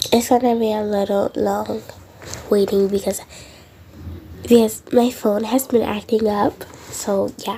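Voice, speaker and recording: Amid noticeable background noise, a woman with a fairly high pitch speaks in a monotone, flat intonation, leaving long, frequent pauses. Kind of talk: casual game walkthrough narration.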